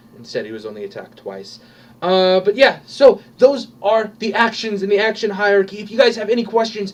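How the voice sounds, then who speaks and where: A man's voice with ordinary pitch variation. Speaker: tabletop gaming video host. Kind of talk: tutorial. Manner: loud; casual, with many fillers.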